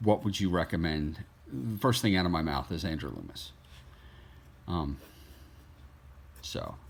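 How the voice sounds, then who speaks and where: With vocal fry and a very deep, low pitch, a man talks at a moderate pace with ordinary pitch variation and long, frequent pauses. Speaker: artist. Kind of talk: tutorial. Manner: halting.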